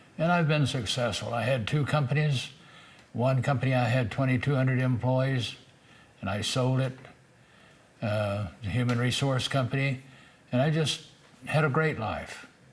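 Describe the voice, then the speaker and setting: At a moderate pace, a man speaks with medium pitch, ordinary pitch variation and a somewhat breathy voice, leaving long, frequent pauses. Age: 80s+. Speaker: military veteran. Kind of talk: testimony. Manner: halting.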